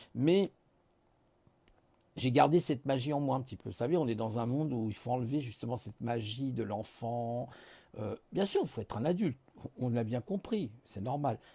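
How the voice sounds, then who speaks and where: With long, frequent pauses, a man speaks at medium pitch in a dark, mellow, somewhat breathy tone with ordinary pitch variation. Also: moderate pace, very clean recording, silent background. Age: 50s. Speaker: vlogger. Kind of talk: casual monologue. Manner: relaxed; halting.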